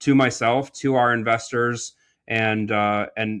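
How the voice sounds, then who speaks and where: A man with an American accent, monotone and flat in intonation, against a quiet background. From Iowa, US Midwest. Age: 40s. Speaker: entrepreneur and real estate investor. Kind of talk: podcast interview. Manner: casual, many fillers.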